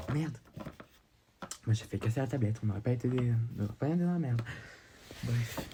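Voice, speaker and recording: A man speaks at medium pitch and a very fast pace, with ordinary pitch variation and very even loudness. Long, frequent pauses break up his speech, and background noise is noticeable. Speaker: vlogger. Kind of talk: casual vlog. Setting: outdoors. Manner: hesitant.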